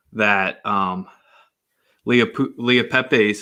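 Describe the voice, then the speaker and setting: A man with a Philadelphia accent, fairly low in pitch, with a bright, sharp tone, fairly even intonation, and a very slow pace, on a very clean recording with a silent background. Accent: Philly. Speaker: sports podcast host. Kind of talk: casual sports chat.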